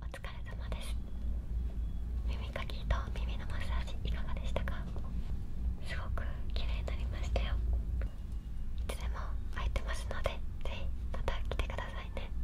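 A woman moves at a fairly slow pace, her speech broken by long, frequent pauses. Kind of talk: soft-spoken roleplay talk. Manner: soft close-mic ASMR whisper. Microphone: studio mic.

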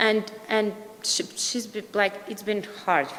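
A woman speaks with a Russian accent. Noticeable background noise can be heard. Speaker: parent. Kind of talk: public comment. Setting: board meeting. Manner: halting.

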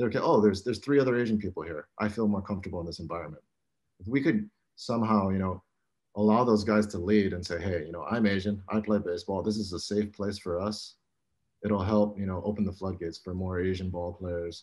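Against a quiet background, a man talks very fast at a fairly low pitch with fairly even intonation. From Hawaii. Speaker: apparel brand founder and former college baseball player. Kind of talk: roundtable discussion. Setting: video call. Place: home room. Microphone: video call.

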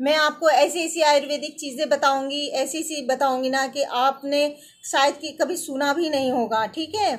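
Her pitch high, a woman keeps fairly even intonation at a moderate pace with few pauses.

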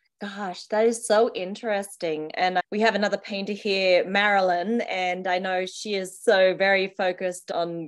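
A woman speaks at a medium pitch with a fairly even intonation. Her background is quiet. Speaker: interviewer. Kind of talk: interview. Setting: video call. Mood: warm, cheerful, laughing. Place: home room. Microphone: video call.

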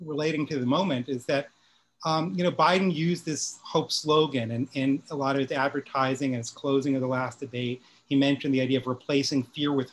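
A man speaking at a fairly quick pace with fairly even intonation. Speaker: guest, professor. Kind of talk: panel discussion remarks. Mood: earnest, concerned. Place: home room. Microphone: video call.

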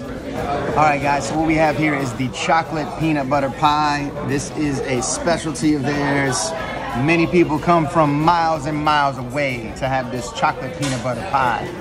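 Clear music plays in the background. The speech moves at a moderate pace with hardly any pauses. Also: man. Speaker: food vlogger. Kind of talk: casual food review chat. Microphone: phone near.

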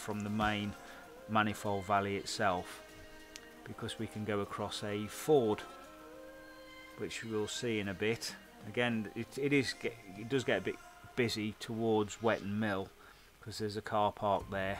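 With clear music in the background, a man speaks at a moderate pace in a fairly low voice, keeping his intonation fairly even and leaving long, frequent pauses. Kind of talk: casual commentary. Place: open country. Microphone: helmet.

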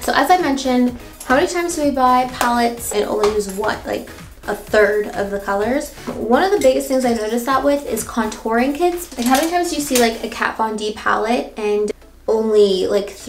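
Over music in the background and audible room echo, a woman speaks at a fairly quick pace. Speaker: beauty vlogger. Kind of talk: casual makeup tutorial chat. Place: bathroom.

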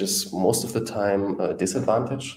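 A man's very deep, low voice in a dark, mellow tone, very slow, with a German accent and audible room echo. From Germany. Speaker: YouTube host on Caribbean economics. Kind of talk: live stream talk. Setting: solo live stream. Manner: hesitant, many fillers. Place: home room.

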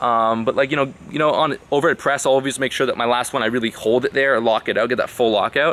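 The tone is bright and sharp, and the pace is very fast. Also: man. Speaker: fitness vlogger. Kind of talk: casual vlog chat. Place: garden. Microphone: phone near.

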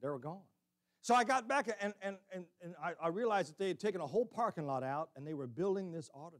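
With an American accent, a man talks at a fairly quick pace, his intonation lively against a quiet background. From Illinois. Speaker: preacher. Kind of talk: sermon. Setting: church. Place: church. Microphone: podium.

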